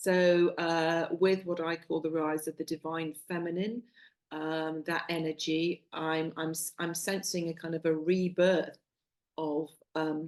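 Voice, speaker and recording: In a West Country accent, a woman speaks at a fairly slow pace with fairly low pitch and a monotone, flat intonation. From Somerset, England. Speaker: soul coach and psychologist. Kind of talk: interview answer.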